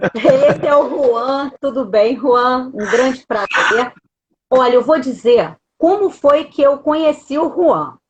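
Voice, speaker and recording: Speaking fairly slowly, a woman uses a high-pitched voice. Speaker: lawyer hosting a live stream. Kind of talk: live stream interview introduction.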